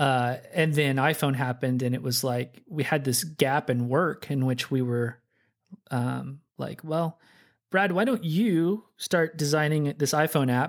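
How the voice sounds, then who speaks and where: Speaking slowly in an unremarkable speaking voice, a man with an American accent shows a fairly high pitch and ordinary pitch variation in a very clean recording with a silent background. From Oklahoma City, US. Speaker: software developer. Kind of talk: casual interview. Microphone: good podcast mic.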